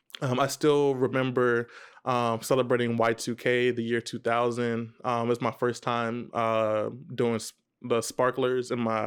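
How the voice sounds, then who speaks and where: A man speaks with an American accent in a flat, monotone intonation against a quiet background. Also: medium pitch for a man, fairly slow pace. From Texas, Dallas area (Irving). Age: 20s. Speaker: business vlogger. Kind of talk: vlog monologue. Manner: halting, many fillers and restarts.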